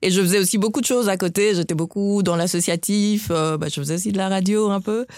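With a normal speaking voice, a woman talks at a fairly quick pace with hardly any pauses. Her pitch is medium, with ordinary pitch variation. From West Africa (Guinea, Nigeria, Burkina Faso). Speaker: doctor. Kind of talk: interview.

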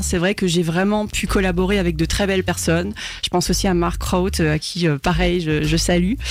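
The recording carries noticeable background noise and audible room echo. A woman speaks at a moderate pace. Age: 30s. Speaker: singer. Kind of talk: radio interview. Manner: talkative, hesitant with fillers.

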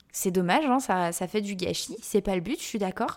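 This woman's intonation is lively. Her words come fairly quickly. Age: 20s. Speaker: dietitian and nutritionist podcast host. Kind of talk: solo podcast monologue. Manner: hesitant, many fillers and repetitions.

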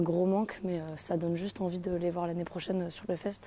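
A woman talks at a moderate pace with a fairly low pitch. Her tone is dark and mellow. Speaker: festival-goer. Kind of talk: voice message review.

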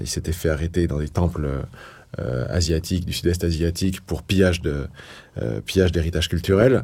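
Vocal fry runs through speech at a moderate pace, broken by long, frequent pauses. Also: man, very deep, low pitch for a man, ordinary pitch variation. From northeastern France, Toul near Nancy. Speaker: politician and author. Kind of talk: interview testimony. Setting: in-person recording in Paris. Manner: halting with many repetitions.

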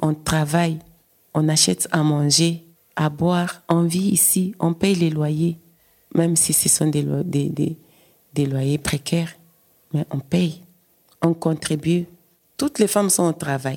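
Dark and mellow in tone, a woman's fairly low voice moves at a very slow pace with long, frequent pauses, fairly even intonation, and very even loudness. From DR Congo. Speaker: migrant care worker, activist. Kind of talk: interview testimony.

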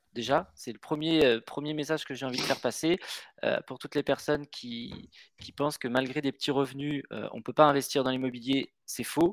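In a very clean recording with a silent background and a dry, close sound with no echo, a man with a fairly high pitch speaks at a moderate pace, his intonation fairly even but his loudness swinging widely. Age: 30s. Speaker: real estate investor. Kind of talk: podcast interview. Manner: halting, frequent repetitions and fillers.

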